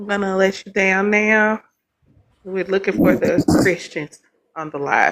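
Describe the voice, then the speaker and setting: Her voice sits at a medium pitch for a woman and varies in pitch in an ordinary way. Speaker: livestream debate host. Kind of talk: heated debate. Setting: livestream. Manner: loud.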